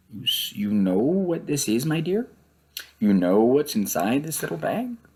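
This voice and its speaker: Putting on a creaky character voice, a man speaks at a moderate pace with a fairly high pitch and very wide pitch swings. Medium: read story. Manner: coaxing, secretive.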